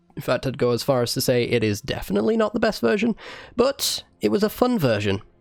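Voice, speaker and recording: A man talks at a moderate pace, with music in the background. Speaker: gaming YouTuber. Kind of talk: gameplay commentary. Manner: casual, conversational.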